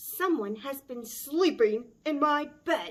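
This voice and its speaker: A woman's put-on character voice, high-pitched, gruff and growling, with lively intonation at a very slow pace. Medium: read story. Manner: booming.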